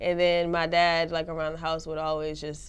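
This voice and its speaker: A woman's very deep, low voice keeps a moderate pace. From Savannah, Georgia (US South). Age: 20s. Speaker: rapper. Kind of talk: interview. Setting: studio.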